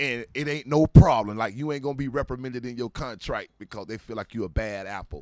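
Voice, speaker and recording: Very fast American-accented speech with hardly any pauses, big swings in loudness and ordinary pitch variation, dry and close with no echo, music in the background. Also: man, medium pitch for a man. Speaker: former pro football player. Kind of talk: casual interview storytelling. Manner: animated.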